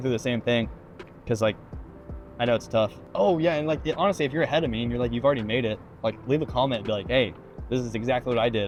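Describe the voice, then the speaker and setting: A man at medium pitch, very fast pace and ordinary pitch variation, with music in the background. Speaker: realtor. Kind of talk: casual vlog monologue. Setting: in a car.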